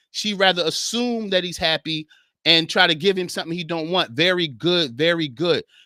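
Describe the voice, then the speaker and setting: In a high, bright, sharp tone, a man speaks on a very clean recording with a silent background and a dry, close sound with no echo. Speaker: podcast host and author; men's Bible study teacher. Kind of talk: live stream chat. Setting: live stream. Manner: fast, rushing.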